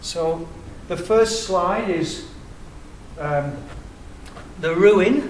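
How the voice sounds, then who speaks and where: A man with an English accent talks at a very slow pace with lively intonation, amid noticeable background noise and audible room echo. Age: 60s. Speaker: independent researcher. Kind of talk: public presentation.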